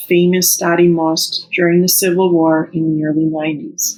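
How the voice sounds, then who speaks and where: At a moderate pace, a woman speaks in a fairly low pitch. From Canada, raised in Eastern European household. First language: Serbo-Croatian. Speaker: teacher. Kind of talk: personal reflection read aloud.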